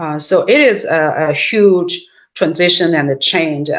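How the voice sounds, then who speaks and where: A woman speaks with a Chinese accent. Her pitch is fairly low. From China. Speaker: professor. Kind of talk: interview. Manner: halting, many fillers.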